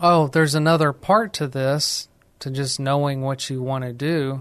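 A man talks at a fairly slow pace with fairly even intonation, in an ordinary speaking voice. The background is quiet. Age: 40s. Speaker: elder law attorney and radio host. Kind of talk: recorded radio talk show monologue. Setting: recorded outside the studio.

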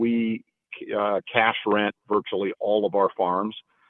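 Speaking in a plain, everyday voice, a man keeps a moderate pace and a medium pitch. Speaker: farmland company executive. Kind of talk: interview.

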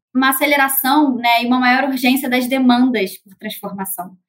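A moderate pace with fairly even intonation. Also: woman. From Rio de Janeiro, Brazil. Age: 30s. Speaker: market researcher. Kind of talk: panel discussion.

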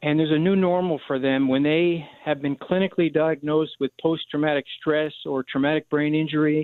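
A man speaks with a plain, everyday voice and an American accent. His intonation is fairly even and his pace moderate. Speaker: charity director for veteran service dogs. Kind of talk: radio interview.

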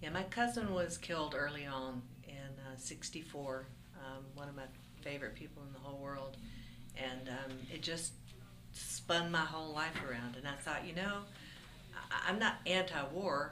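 A woman with an American accent and a very deep, low pitch, speaking at a moderate pace with ordinary pitch variation, big swings in loudness and long, frequent pauses, amid noticeable background noise and audible room echo. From Florida Panhandle. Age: 60s. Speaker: folk musician. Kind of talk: interview.

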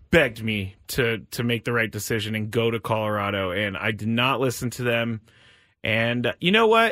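At a moderate pace, a man talks in a plain, everyday voice at medium pitch. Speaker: radio host. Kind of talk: game show host. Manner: brisk, upbeat, explaining rules.

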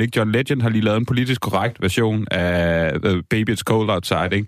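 A man at a moderate pace in an ordinary speaking voice, pitched fairly low. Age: 30s. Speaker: music critic and writer. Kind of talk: casual chat.

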